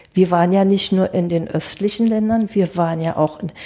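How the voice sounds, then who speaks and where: Her medium-pitched voice has a dark, mellow tone, and the woman keeps her intonation fairly even. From East Germany, rural village. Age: 70s. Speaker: interview guest. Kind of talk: casual interview. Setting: studio.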